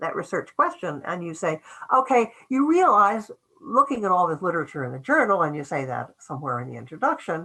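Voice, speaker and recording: A woman with an American accent talks at a fairly quick pace and a medium pitch. Her voice makes very wide pitch swings and big swings in loudness. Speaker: professor. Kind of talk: lecture. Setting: video call. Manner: fast.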